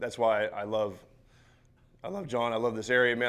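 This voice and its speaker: An animated man at a medium pitch, talking very fast. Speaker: football coach. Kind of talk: seminar talk. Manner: loud at times.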